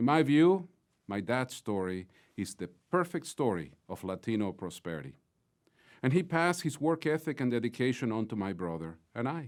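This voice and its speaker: With a Mexican accent, a man speaks at a moderate pace with very wide pitch swings, on a very clean recording with a silent background. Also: medium pitch for a man. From Mexico (Mexico City). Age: 50s. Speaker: business executive, closing speaker. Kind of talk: closing keynote speech. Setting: virtual conference. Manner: formal.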